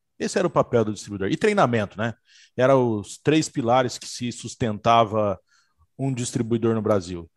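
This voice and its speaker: A man's ordinary speaking voice, medium in pitch with ordinary pitch variation, at a moderate pace, in a dry, close sound with no echo and a quiet background. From interior of São Paulo state, Brazil. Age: 40s. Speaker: security equipment distributor executive. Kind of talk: casual chat. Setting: video call.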